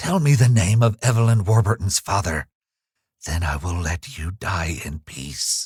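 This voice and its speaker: Putting on a character voice, a man speaks very deep and low at a moderate pace with lively intonation. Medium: read story. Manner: solemn, insistent.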